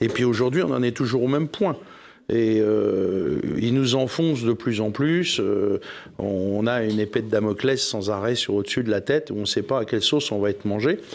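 A man's unremarkable speaking voice, moderate in pace and medium in pitch, with ordinary pitch variation. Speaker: cereal farmer. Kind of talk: televised panel debate. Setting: studio with live audience.

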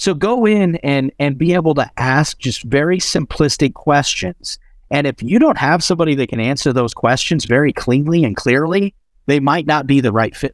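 A plain, everyday voice from a man at a fairly high pitch, moderate pace and lively intonation, on a very clean recording with a silent background. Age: 40s. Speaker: entrepreneur, marketing agency founder. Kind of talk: podcast interview.

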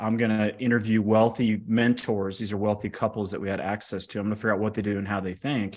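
With a fairly low pitch and a monotone, flat intonation, a man races along at a very fast pace with hardly any pauses on a very clean recording with a silent background. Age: 50s. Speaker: financial services entrepreneur and author. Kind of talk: interview. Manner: direct.

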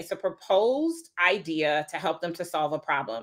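A woman with an American accent speaks at a medium pitch in a bright, sharp tone with lively intonation, on a very clean recording with a silent background. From US East Coast, Wilmington, Delaware. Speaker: business coach. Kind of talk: interview.

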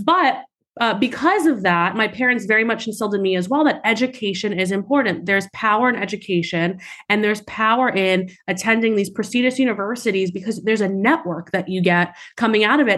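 Against a quiet background, a woman talks at a very fast pace, her medium pitch showing ordinary variation. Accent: American. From New York City, Staten Island. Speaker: venture capital investor. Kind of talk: interview. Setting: podcast.

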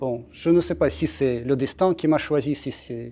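Speaking fairly slowly with a Russian accent, a man has a dark, mellow tone and a fairly high pitch. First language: Russian (speaking French). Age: 40s. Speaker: embassy spokesman. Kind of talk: interview. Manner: halting, frequent repetitions.

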